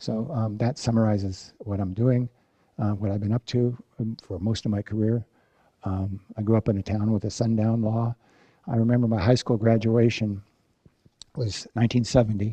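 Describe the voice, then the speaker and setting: A dark, mellow tone in an American accent, moderate pace, monotone, flat intonation and long, frequent pauses. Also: man, medium pitch for a man. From US Pacific Northwest, Olympia, Washington. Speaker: professor. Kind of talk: lecture. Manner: halting.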